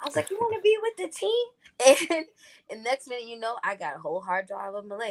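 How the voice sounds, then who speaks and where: Woman's voice, dry and close, with no echo. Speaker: R&B singer. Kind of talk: casual chat.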